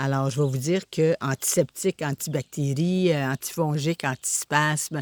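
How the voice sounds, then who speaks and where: A woman talks at a very slow pace with a very deep, low pitch and ordinary pitch variation. The sound is dry and close, with no echo. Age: 60s. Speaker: essential oils seller. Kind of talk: product presentation. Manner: hesitant, many fillers.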